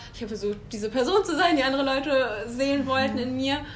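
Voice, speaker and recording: Audible room echo surrounds a woman speaking in a high pitch at a moderate pace. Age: 20s. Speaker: podcast guest. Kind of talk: casual chat.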